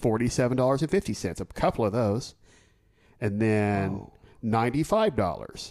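With an American accent, a man at medium pitch speaks very slowly and with ordinary pitch variation on a very clean recording over a silent background. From Oklahoma City. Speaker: podcast co-host. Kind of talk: casual chat.

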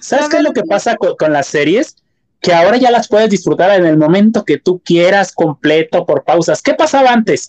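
A man speaks in a high voice with very wide pitch swings. The sound is dry and close, with no echo. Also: moderate pace, very even loudness. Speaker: podcast co-host. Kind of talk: casual chat.

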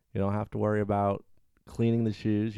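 A man with a Southern US accent speaks at a very fast pace, his pitch fairly low and his tone dark and mellow. Intonation stays fairly even on a very clean recording with a silent background. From US South. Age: 20s. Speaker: friend of the host. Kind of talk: casual chat.

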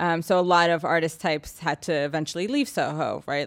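An unremarkable speaking voice from a woman with an American accent, fairly low-pitched and fairly quick, on a very clean recording with a silent background. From New York City, Manhattan. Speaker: real estate agent. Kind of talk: casual chat.

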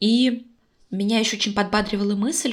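With an ordinary speaking voice, a woman talks at a moderate pace in a medium pitch, her intonation fairly even. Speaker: podcast co-host. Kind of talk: casual chat. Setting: call. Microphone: echo.

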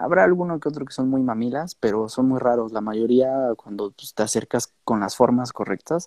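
At a moderate pace, a man with a Mexican accent speaks at medium pitch in a dark, mellow tone, the sound dry and close with no echo. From Mexico. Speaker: DJ and music producer. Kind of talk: casual interview.

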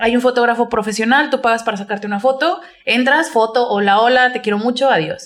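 Her pitch high and her tone animated, a woman speaks fairly quickly in a Mexican accent with ordinary pitch variation. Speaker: podcast co-host. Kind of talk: casual chat.

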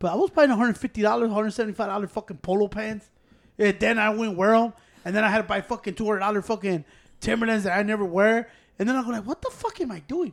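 A man talks at a very fast pace in a high pitch with ordinary pitch variation. The recording is very clean, with a silent background. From Chicago, Mexican-American. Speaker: podcast co-host. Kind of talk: casual chat. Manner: animated.

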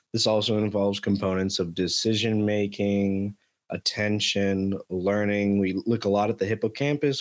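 Over a very clean recording with a silent background, a man delivers his words with fairly low pitch and monotone, flat intonation. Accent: American. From Miami, Florida. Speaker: lab manager. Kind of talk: casual chat.

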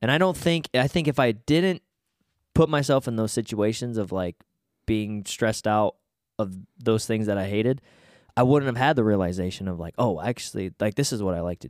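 A man with an ordinary speaking voice, medium pitch and lively intonation is heard in a dry, close sound with no echo in a very clean recording with a silent background. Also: fairly quick pace. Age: 20s. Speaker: podcast host. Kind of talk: casual chat.

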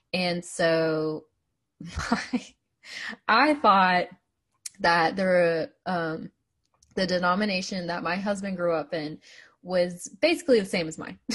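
A woman's fairly low voice in an American accent, very slow, with long, frequent pauses. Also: ordinary pitch variation. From US Appalachia (West Virginia). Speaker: podcast co-host. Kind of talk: casual chat.

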